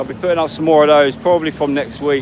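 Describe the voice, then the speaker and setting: With an English accent, a man speaks at a fairly high pitch. His pitch variation is ordinary, with noticeable background noise. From England. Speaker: travel vlogger. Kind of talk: live stream walk and talk. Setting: outdoors on a street. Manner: fast.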